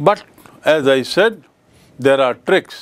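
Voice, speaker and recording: A man at a moderate pace with lively intonation. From India. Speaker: English teacher. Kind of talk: lecture. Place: studio.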